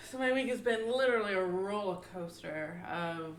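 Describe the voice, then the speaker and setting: A soft-spoken woman at a fairly high pitch with very wide pitch swings, at a fairly slow pace, in audible room echo. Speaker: podcast co-host. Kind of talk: casual chat; personal testimony. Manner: quiet.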